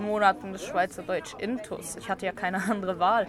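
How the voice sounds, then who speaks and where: The pitch moves with ordinary variation. Beneath the voice there is noticeable background noise. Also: woman. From Luxembourg. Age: 20s. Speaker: piercer and make-up artist. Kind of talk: interview. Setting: outdoors at a café table.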